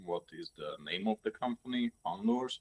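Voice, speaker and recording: A man speaks at a fairly slow pace in a Hungarian accent. The sound is dry and close, with no echo. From Hungary. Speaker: lure maker. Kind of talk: casual interview chat. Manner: halting, many fillers.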